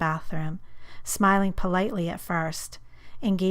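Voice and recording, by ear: The voice here is natural. It is reading text aloud.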